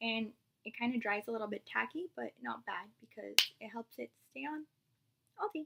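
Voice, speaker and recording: Amid loud background noise, a woman speaks with long, frequent pauses. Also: moderate pace. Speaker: beauty vlogger. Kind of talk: makeup tutorial. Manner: casual, chatty. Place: home room. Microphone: webcam.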